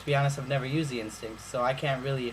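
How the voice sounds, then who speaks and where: A man talks at a medium pitch. Noticeable background noise and audible room echo are present. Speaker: YouTuber reviewing phones. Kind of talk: casual vlog review.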